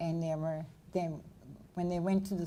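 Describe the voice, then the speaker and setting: A woman speaks in a dark, mellow tone with flat, monotone intonation. Room echo can be heard around her voice. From Nova Scotia, Canada. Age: 70s. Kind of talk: lecture Q&A.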